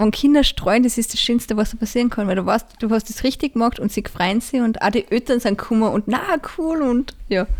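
A woman's plain, everyday voice at a fairly quick pace. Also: fairly high pitch for a woman, ordinary pitch variation, very even loudness. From Austria, Salzburg region (Pongau). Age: 20s. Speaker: parish council member and gardener. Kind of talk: interview.

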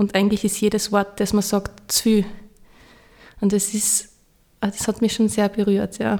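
Speaking at a fairly slow pace, a woman keeps a monotone, flat intonation and leaves long, frequent pauses. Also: medium pitch for a woman, very even loudness. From Austria, Styria. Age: 30s. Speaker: parish pastoral worker. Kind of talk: interview.

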